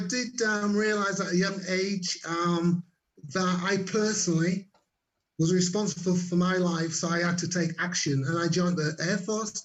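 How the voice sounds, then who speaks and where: A man with a Yorkshire accent speaks at a moderate pace in a high pitch, his intonation fairly even. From Leeds, Yorkshire, northern England. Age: 60s. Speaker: network marketer and former air force cook. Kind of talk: interview. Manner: halting.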